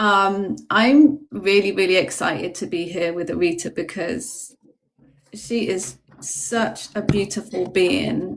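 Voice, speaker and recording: A woman's medium-pitched voice with vocal fry, at a very slow pace with ordinary pitch variation. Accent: British. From UK, Jamaican family. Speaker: spiritual guest. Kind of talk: casual livestream chat. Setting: TikTok livestream.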